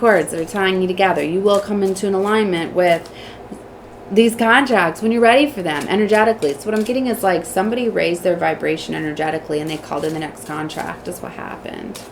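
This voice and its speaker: Against noticeable background noise, a woman with an American accent and a medium pitch talks at a fairly quick pace with ordinary pitch variation. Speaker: tarot reader. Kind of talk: tarot reading. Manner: fast.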